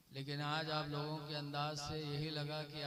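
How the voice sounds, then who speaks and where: Fairly high male voice with audible room echo and noticeable background noise. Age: 50s. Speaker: Islamic preacher. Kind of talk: sermon.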